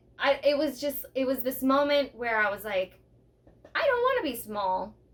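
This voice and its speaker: A woman speaks loudly in a high pitch at a moderate pace. Her pitch varies in an ordinary way. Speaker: podcast co-host. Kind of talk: casual chat. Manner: animated.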